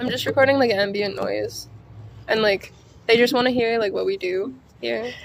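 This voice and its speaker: Amid noticeable background noise, a woman speaks at a moderate pace with long, frequent pauses. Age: 20s. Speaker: harm reduction worker. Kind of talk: interview and audio diary. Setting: self-recorded in an industrial building drop-in space. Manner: hesitant, many fillers.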